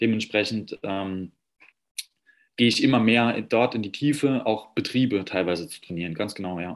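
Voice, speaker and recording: Speaking at a moderate pace, a man uses a fairly low pitch with ordinary pitch variation and big swings in loudness. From Saarland, Germany. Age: 30s. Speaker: personal trainer. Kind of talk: interview. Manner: hesitant, many fillers.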